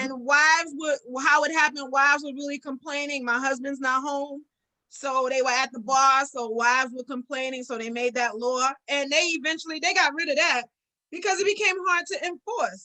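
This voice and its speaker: A raised, projected voice with a bright, sharp tone, ordinary pitch variation and moderate pace. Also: woman, high pitch for a woman. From New York. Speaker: political talk show co-host. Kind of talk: casual chat. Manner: loud.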